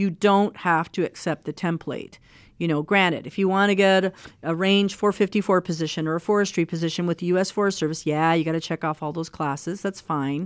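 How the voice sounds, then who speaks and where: A woman with an American accent, fairly low in pitch, in an ordinary speaking voice, at a fairly quick pace with fairly even intonation, on a very clean recording with a silent background. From Mexico and Texas. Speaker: wildlife research scientist. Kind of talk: interview conversation.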